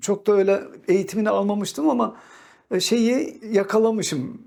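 In a very clean recording with a silent background, a man speaks at a moderate pace. His voice is high-pitched with a dark, mellow tone and ordinary pitch variation. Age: 60s. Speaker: calligrapher. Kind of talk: personal storytelling monologue.

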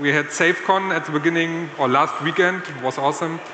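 The speech comes at a moderate pace with fairly even intonation, with audible room echo and light background noise. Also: man. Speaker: conference speaker. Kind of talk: conference talk. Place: stage. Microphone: handheld.

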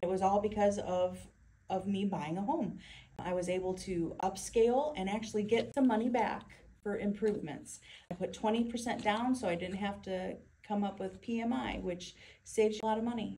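A woman's dark, mellow, somewhat breathy voice with ordinary pitch variation over light background noise. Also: moderate pace. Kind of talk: testimonial interview answer. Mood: proud and earnest. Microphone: phone near.

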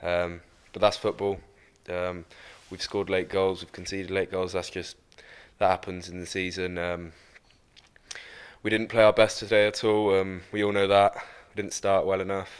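A man talks at a fairly slow pace in a low, clear, smooth tone with little pitch movement and long, frequent pauses.

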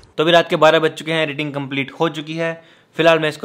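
The background is quiet. A man is speaking. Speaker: vlogger. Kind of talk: casual vlog chat. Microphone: phone near.

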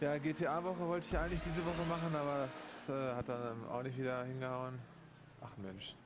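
A man with a medium-pitched voice and ordinary pitch variation talks at a moderate pace, his words carrying audible room echo over noticeable background noise. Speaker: gaming YouTuber. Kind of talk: gameplay commentary. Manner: animated.

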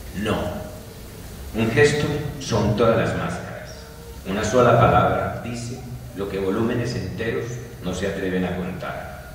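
Long, frequent pauses and ordinary pitch variation mark this speech, heard in strong room echo with light background noise. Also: man, fairly low pitch for a man. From Colombia. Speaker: poet. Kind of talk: poetry reading. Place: hall. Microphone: camera far.

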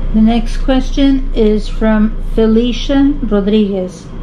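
A plain, everyday voice with fairly even intonation over light background noise. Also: woman. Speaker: YouTube vlogger. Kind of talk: casual Q&A chat, reading questions. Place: home room. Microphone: camera far.

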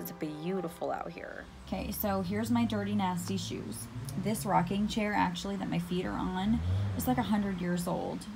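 A woman talks at an even, medium speed while music runs underneath. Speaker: vlogger. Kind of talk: casual vlog chat. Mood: relaxed, content. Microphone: phone near.

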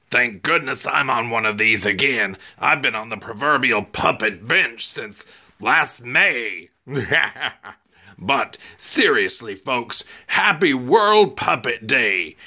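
A put-on character voice at a fairly slow pace. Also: man, medium pitch for a man.

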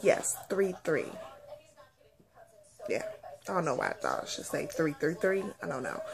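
A woman with a husky, rough edge and vocal fry, low in pitch with very wide pitch swings, at a fairly slow pace in a playful tone

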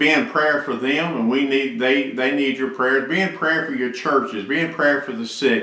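With audible room echo, a man talks with hardly any pauses and ordinary pitch variation. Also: moderate pace. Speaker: church pastor. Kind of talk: sermon. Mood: earnest, pastoral. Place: office. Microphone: webcam.

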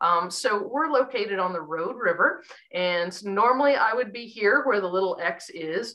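With lively intonation, a woman speaks over a quiet background. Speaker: environmental educator. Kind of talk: lecture. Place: home room. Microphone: webcam.

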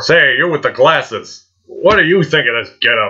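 A man puts on a cartoonish character voice and speaks at a moderate pace. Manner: petulant, whiny.

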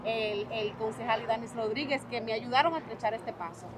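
A woman's fairly high voice at a fairly quick pace, with fairly even intonation and noticeable background noise. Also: dry sound with no echo. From Dominican Republic, raised in New York. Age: 30s. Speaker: politician. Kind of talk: interview.

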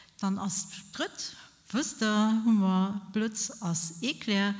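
This is a woman talking. Her voice is somewhat breathy. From Luxembourg. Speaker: charity president; speaker. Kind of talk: speech. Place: hall. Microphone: podium.

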